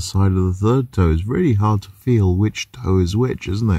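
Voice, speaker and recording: A man's fairly low, somewhat breathy voice with a dark, mellow tone, fairly even intonation, a quiet background and dry sound with no echo. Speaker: van life vlogger. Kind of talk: casual vlog chat. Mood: dry humorous. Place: car. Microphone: phone near.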